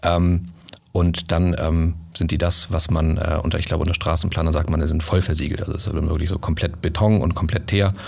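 Speaking at a fairly quick pace, a man uses a very deep, low pitch in a monotone, flat intonation. Background noise is noticeable. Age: 30s. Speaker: sales manager. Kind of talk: casual chat.

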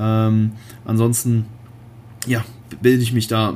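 The man's pitch sits in the medium range. He speaks with a monotone, flat intonation. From Germany, Cologne. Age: 20s. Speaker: bodybuilder and online fitness coach. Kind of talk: solo podcast monologue. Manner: casual, many filler words.

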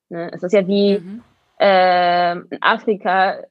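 The voice belongs to a woman with a medium pitch. She speaks at a very slow pace. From Berlin, Germany. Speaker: roller skater and dancer. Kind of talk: interview.

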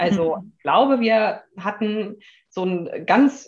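Somewhat breathy, a woman with a fairly high pitch speaks at a very slow pace with lively intonation. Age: 30s. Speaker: life coach in transition to self-employment. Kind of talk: casual interview chat. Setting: in person, sitting across from host.

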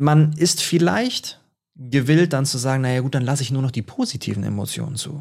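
A man with a medium-pitched, somewhat breathy voice speaks at a moderate pace. His pitch varies in an ordinary way. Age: 20s. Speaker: author and speaker. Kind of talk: interview conversation.

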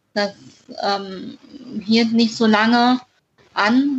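A woman's voice with fairly even intonation. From northern Hesse, Germany (near Kassel). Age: 20s. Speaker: author with a congenital heart defect. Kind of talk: interview.

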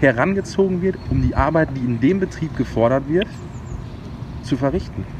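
Noticeable background noise sits behind this recording. A man speaks with lively intonation at a moderate pace. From Sauerland, Germany (Brilon area). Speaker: chef. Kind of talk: interview. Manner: halting.

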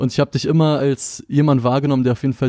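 On a very clean recording with a silent background and a dry, close sound with no echo, a man with a fairly high pitch speaks in a dark, mellow tone with fairly even intonation. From Berlin (Moabit). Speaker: music magazine interviewer. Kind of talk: casual interview.

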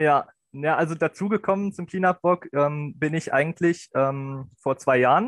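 A plain, everyday voice from a man, fairly high in pitch with ordinary pitch variation, at a fairly slow pace, dry and close with no echo. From Lower Saxony, Germany (Helmstedt district). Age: 20s. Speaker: student volunteer. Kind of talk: casual chat.

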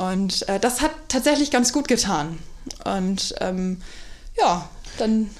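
A woman with a medium pitch speaks at a very slow pace. She uses lively intonation and long, frequent pauses. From North Frisia, Germany. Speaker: deputy hotel manager. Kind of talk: casual interview chat. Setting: hotel, in person.

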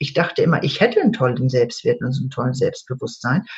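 This is a woman talking. Her speech carries some breathiness. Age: 60s. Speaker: EFT trainer and coach. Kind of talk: interview. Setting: online call.

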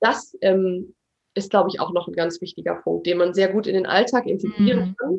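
A woman's medium-pitched voice with vocal fry and fairly even intonation. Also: moderate pace. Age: 20s. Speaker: actress and acting teacher. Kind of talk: interview; guided exercise.

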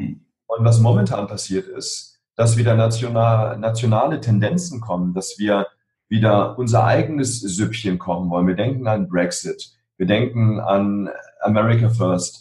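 A man speaks at a medium pitch in a dark, mellow tone. His voice is somewhat breathy. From Berlin (Spandau). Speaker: emotional intelligence trainer and author. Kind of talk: interview. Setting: video call.

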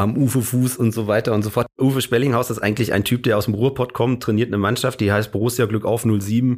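A man at a very fast pace, medium in pitch, with very even loudness and hardly any pauses. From Hesse, Germany. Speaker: comedian. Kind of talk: casual chat. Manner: animated.

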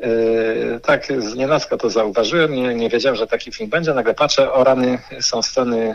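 Noticeable background noise runs under a man's medium-pitched voice. His pace is moderate, with ordinary pitch variation. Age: 40s. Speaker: author. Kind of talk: interview. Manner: halting, repeats words.

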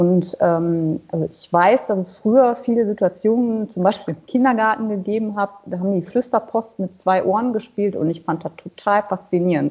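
A woman's medium-pitched voice moves at a moderate pace, with ordinary pitch variation. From western Germany near Dutch border. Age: 40s. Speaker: singer with hearing aids. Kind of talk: interview. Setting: phone call. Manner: many hesitations (äh, ähm).

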